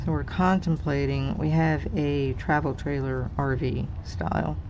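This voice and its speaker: Fairly slow speech from a woman, with audible room echo and noticeable background noise. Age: 60s. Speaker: crafting channel host. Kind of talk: casual livestream chat while coloring. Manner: casual, chatty.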